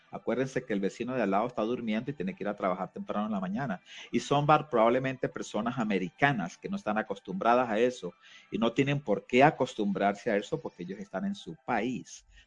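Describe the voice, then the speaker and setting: Music plays in the background as the speaker talks at a very fast pace with ordinary pitch variation, the sound dry and close with no echo. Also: man, medium pitch for a man. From Venezuela, Caracas. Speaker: community organization director. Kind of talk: radio interview.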